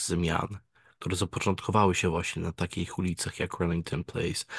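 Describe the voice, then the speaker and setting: The background is quiet and the sound is dry and close, with no echo. A man talks at a very deep, low pitch with fairly even intonation. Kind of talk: casual chat.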